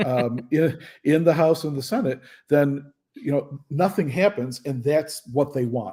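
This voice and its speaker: This man has a fairly high pitch and a dark, mellow tone that is somewhat breathy. He talks at a fairly slow pace with ordinary pitch variation. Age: 60s. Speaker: professor and state legislator. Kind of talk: radio talk show discussion.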